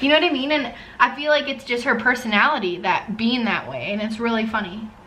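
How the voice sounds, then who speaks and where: Very fast speech from a woman, fairly high in pitch, amid audible room echo and noticeable background noise. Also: ordinary pitch variation. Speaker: podcast host and vlogger. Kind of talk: casual chat. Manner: loud.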